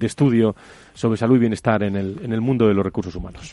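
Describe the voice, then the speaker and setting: Very fast speech from a man with a dark, mellow tone and fairly even intonation. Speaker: radio host. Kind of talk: radio panel discussion.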